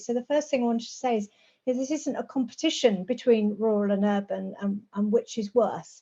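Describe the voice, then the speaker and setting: Fairly quick and somewhat breathy, the speech holds fairly even intonation. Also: woman. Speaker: rural housing campaigner and planner. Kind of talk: presentation.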